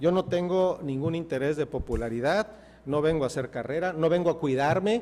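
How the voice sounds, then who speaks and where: This man's voice sits at a fairly high pitch and moves at a fairly quick pace. His pitch varies in an ordinary way. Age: 60s. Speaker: mayoral candidate, politician. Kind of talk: TV interview. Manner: emphatic, passionate.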